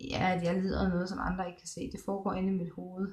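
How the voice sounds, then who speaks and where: At a moderate pace, a woman speaks in a somewhat breathy, medium-pitched voice with monotone, flat intonation. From Denmark, Thy in northwest Jutland. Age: 20s. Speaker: video blogger. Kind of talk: personal vlog, casual monologue. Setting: hospital room, psychiatric ward. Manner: halting, many pauses and fillers.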